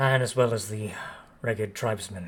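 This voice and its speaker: A man puts on a gruff character voice, pitched fairly low. He talks at a moderate pace. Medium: actual play. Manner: slow, formal, solemn.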